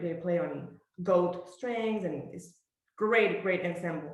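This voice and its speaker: With audible room echo, the speech goes at a moderate pace. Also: woman. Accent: Quebec. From Quebec, Montreal. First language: French. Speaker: professional orchestral bassoonist. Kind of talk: master class, talking about her career.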